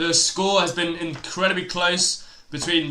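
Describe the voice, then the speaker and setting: A man speaks at a fairly slow pace with a high pitch. Noticeable background noise runs behind him. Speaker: tennis live stream commentator. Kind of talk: live commentary. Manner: halting.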